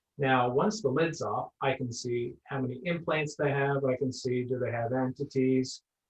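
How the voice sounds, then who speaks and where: Speaking at a moderate pace with hardly any pauses, the voice carries fairly even intonation and a slight Nova Scotian accent. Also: man, medium pitch for a man. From Nova Scotia, Cape Breton (Sydney). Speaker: energy healer. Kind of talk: interview.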